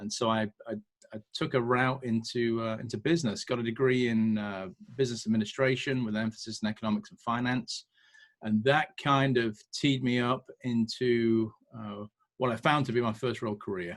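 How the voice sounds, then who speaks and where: A man speaks with a British accent in a medium-pitched voice and fairly even intonation. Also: moderate pace. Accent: British accent, noticeable to Americans. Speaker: entrepreneur and military veteran. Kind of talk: podcast interview. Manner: casual with frequent fillers and repetitions.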